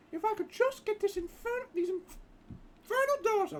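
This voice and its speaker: A man puts on a squeaky character voice and talks at a moderate pace. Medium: game stream. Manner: eager, chatty.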